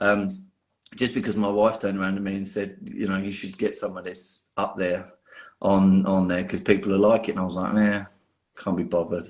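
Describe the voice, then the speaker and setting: In a strong London accent, the speech moves at a fairly quick pace with monotone, flat intonation. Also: man, fairly low pitch for a man. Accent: London accent, still strong. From North London, England. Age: 40s. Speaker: miniature painter. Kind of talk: podcast interview. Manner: casual, many repetitions.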